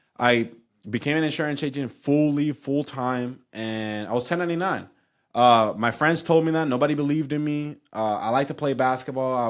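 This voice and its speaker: Someone speaks with a Spanish accent in an animated tone, at a moderate pace with ordinary pitch variation. The recording is very clean, with a silent background. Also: man, fairly high pitch for a man. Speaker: insurance agency owner. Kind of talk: casual chat.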